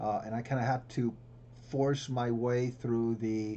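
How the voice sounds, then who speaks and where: A man with a Spanish accent speaks in a somewhat breathy, medium-pitched voice with a dark, mellow tone and fairly even intonation. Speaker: symposium host, professor. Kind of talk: panel discussion.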